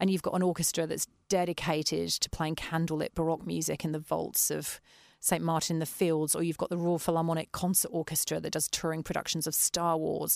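A woman with an English accent, fairly quick, in a monotone with flat intonation. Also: fairly low pitch for a woman. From West Country, England. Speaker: orchestra founder and violist. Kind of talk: interview.

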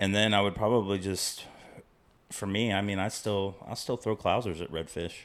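In a Texan accent, a man talks at a moderate pace with a fairly low pitch. The recording is very clean, with a silent background. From Central Texas, near Waco. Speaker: fly tier. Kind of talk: casual chat.

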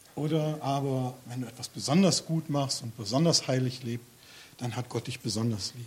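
A man's ordinary speaking voice, medium in pitch, with ordinary pitch variation and a moderate pace. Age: 50s. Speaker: lay preacher. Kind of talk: sermon.

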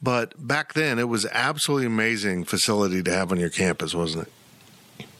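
In a normal speaking voice, a man with a fairly low pitch and lively intonation talks at a moderate pace with hardly any pauses. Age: 50s. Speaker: sports journalist and podcast host. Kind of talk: interview.

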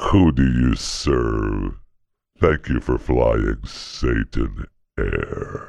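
A man performs a put-on character voice with a very deep, low pitch. He talks at a very slow pace. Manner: demonic, menacing.

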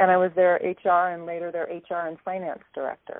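Her pitch is fairly low for a woman, with an American accent. She speaks at a very fast pace. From Alaska, US. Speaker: aid worker, HR and finance manager. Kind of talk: interview.

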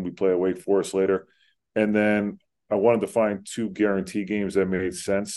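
Speaking with an American accent, a man keeps a fairly low pitch at a fairly quick pace. His intonation is monotone and flat. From Central New Jersey (Pennington). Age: 30s. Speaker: college basketball head coach. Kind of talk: interview.

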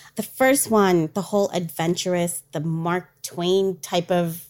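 A woman uses an ordinary speaking voice, fairly low in pitch, with fairly even intonation at a fairly slow pace. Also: hardly any pauses. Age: 40s. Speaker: travel company owner and dance teacher. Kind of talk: casual chat.

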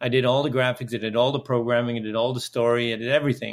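Here a man speaks in a Dutch accent. His voice sits at a medium pitch. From Netherlands. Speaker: video game entrepreneur and clean energy activist. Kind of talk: interview.

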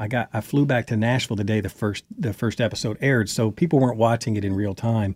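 With a Southern US accent, a man at a medium pitch talks at a very fast pace with hardly any pauses, the sound dry and close with no echo on a very clean recording with a silent background. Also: ordinary pitch variation. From Kentucky. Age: 40s. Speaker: country singer and former reality TV cast member. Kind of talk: interview.

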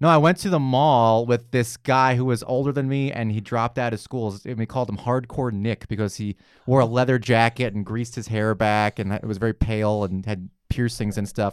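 An ordinary speaking voice with an American accent moves at a fairly quick pace, with hardly any pauses and ordinary pitch variation. The recording is very clean, with a silent background. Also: man, medium pitch for a man. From New York. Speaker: comedian and cartoonist. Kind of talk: casual chat.

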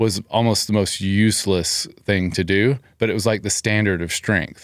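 With an American accent and a normal speaking voice, a man speaks at a moderate pace with a fairly low pitch and ordinary pitch variation on a very clean recording with a silent background. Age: 40s. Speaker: gym owner. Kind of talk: casual chat.

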